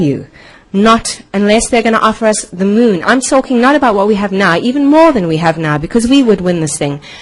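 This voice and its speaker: A woman speaks at a medium pitch with very wide pitch swings, and there is noticeable background noise. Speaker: parent speaking at public comment. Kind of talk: public comment at school board meeting. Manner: fast.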